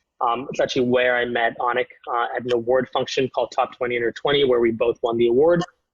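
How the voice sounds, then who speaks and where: A man with a Canadian accent speaks at a fairly quick pace and a medium pitch. He has a plain, everyday voice with fairly even intonation. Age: 20s. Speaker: startup founder. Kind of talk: interview.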